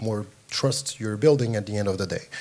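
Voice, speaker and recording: A man with a French accent speaks at a fairly quick pace in a fairly low voice, with ordinary pitch variation. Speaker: panelist, tokenization company representative. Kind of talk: panel discussion. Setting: stage with audience at conference.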